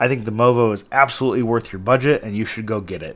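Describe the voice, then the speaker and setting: On a very clean recording with a silent background, a man speaks at a medium pitch and a fairly quick pace. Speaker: tech reviewer and video creator. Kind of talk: product review. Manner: slightly projected, near normal speaking level.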